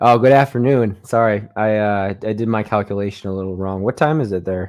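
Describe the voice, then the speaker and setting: Talking at a fairly quick pace, a man uses an ordinary speaking voice with a fairly low pitch and ordinary pitch variation. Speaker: podcast host. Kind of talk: casual live-stream interview talk.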